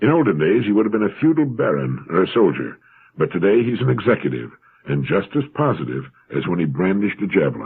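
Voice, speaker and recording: Talking at a fairly quick pace, a man with an American accent uses a fairly low pitch with very wide pitch swings. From United States. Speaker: motivational radio speaker. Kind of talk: motivational talk, read-aloud essay with quoted passages.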